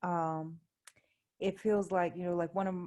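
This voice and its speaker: Against a quiet background, a woman's dark, mellow, fairly low voice moves at a moderate pace with fairly even intonation. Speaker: event host. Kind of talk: casual live commentary.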